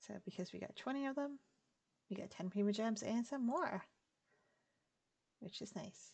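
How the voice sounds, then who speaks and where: Soft-spoken, somewhat breathy speech with ordinary pitch variation, big swings in loudness, and long, frequent pauses. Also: woman. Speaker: gaming streamer. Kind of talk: game commentary. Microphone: quiet audio.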